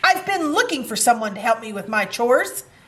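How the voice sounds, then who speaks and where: A woman uses a put-on character voice with a fairly high pitch. She speaks at a fairly quick pace. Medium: read story.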